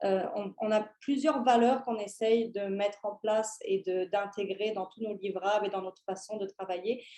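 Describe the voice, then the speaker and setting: A woman with a Parisian accent speaks at a moderate pace in a medium pitch, with hardly any pauses. Her tone is dark and mellow, and her intonation fairly even. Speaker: tourism consultant, company founder. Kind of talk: conference presentation. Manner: hesitant, many fillers and restarts.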